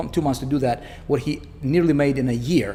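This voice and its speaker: Over noticeable background noise, a man with a non-native accent talks at a fairly quick pace, medium pitch and ordinary pitch variation. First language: not English. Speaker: online marketing coach. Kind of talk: sales pitch. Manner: animated; casual, filler-heavy.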